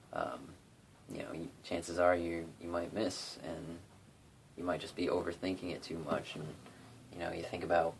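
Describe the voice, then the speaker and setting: At a moderate pace, a man with a very deep, low pitch talks in a relaxed tone with fairly even intonation. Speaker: guitarist doing a tutorial. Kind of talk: casual talk to camera, tutorial. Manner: monotonous, relaxed.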